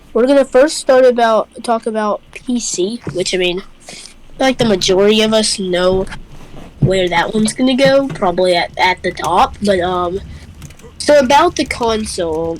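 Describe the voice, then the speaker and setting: A woman speaks at a moderate pace with a fairly high pitch and lively intonation, over noticeable background noise. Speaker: gaming youtuber. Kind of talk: casual chat.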